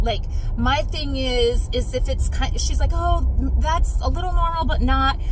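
The speaker has an American accent, and the dry sound with no echo carries noticeable background noise. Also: woman. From Arizona, US. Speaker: vlogger. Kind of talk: casual vlog chat. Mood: chatty, slightly tired. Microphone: phone near.

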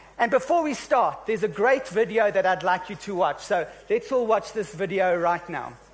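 With hardly any pauses, the voice moves in lively intonation while faint music plays in the background. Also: man, high pitch for a man, moderate pace. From South Africa. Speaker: session moderator. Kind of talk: panel moderation. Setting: stage with audience. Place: stage. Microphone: handheld.

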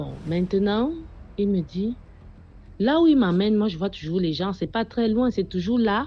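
A woman with a medium-pitched, somewhat breathy voice talks at a fairly slow pace with lively intonation and long, frequent pauses. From Cameroon, Yaoundé. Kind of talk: testimony.

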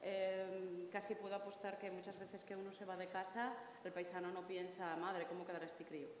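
Monotone and flat in intonation, the speech comes at a fairly quick pace with audible room echo and light background noise. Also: woman, medium pitch for a woman. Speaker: traditional musician; panelist. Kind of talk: panel discussion. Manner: nervous, chatty. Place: hall.

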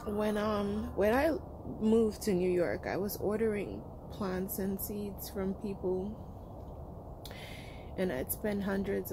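Noticeable background noise sits under a woman's fairly slow speech, which has fairly even intonation and a dry sound with no echo. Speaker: homesteader vlogger. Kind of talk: casual vlog chat. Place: garden. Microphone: phone near.

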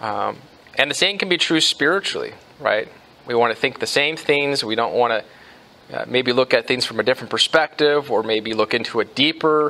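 Talking at a fairly quick pace, the man shows ordinary pitch variation. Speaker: pastor. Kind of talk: sermon. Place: church.

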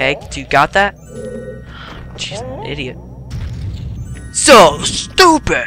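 Very slow speech with long, frequent pauses over music in the background. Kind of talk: casual gaming commentary. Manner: animated, excitable.

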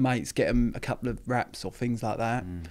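Over a quiet background, a man talks at a fairly quick pace. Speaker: podcast guest. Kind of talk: interview answer. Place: studio. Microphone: studio mic.

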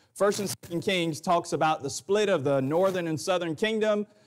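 This man talks at a very fast pace. The pitch variation stays ordinary. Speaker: preacher. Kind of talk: sermon. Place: church.

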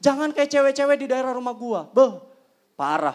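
A man talks in an animated tone against a quiet background. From Indonesia. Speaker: stand-up comedian. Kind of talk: stand-up comedy. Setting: stage with audience. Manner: punchline-driven, acts out characters. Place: stage. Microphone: handheld.

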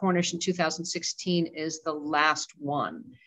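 Against a quiet background, a normal speaking voice carries fairly even intonation. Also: woman. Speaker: auction house department head and event host; auction house department head, event host. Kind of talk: webinar introduction and Q&A moderation. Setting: video call. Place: hall. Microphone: headset.

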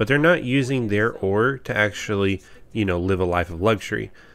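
A man with an American accent speaks at a fairly quick pace in a normal speaking voice, his pitch fairly low and its variation ordinary, on a very clean recording with a silent background. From Texas. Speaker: gaming YouTuber. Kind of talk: video game review.

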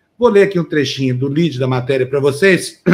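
Here a man speaks at a very fast pace. His pitch varies in an ordinary way. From Brazil. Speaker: news show host. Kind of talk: news reading. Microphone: video call.

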